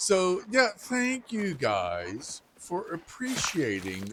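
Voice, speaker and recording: A man talks at a very slow pace. His pitch swings very widely over noticeable background noise. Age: 50s. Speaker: gaming youtuber. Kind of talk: gameplay commentary. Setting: at home at night. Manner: quiet.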